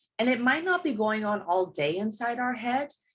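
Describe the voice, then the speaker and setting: A woman's fairly high, somewhat breathy voice with very wide pitch swings at a fairly slow pace. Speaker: workshop leader. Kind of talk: workshop talk. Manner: animated.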